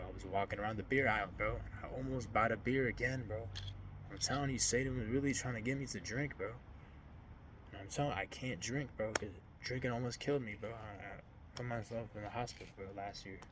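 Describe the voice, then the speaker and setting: In a room with audible echo, a man at medium pitch talks at a very fast pace with ordinary pitch variation, broken by long, frequent pauses. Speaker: faith vlogger. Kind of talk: personal testimony vlog. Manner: casual, halting.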